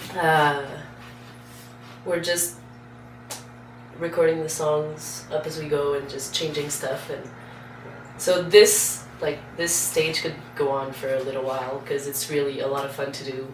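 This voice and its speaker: The speaker talks at a fairly slow pace, with long, frequent pauses. Background noise is noticeable. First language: Portuguese. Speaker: singer in a band. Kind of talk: interview.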